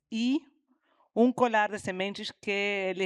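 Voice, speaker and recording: A woman with a Uruguayan accent and fairly even intonation, on a very clean, dry, close recording with a silent background and no echo. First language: Spanish (speaking Portuguese). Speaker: environmental educator and teacher. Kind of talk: panel discussion.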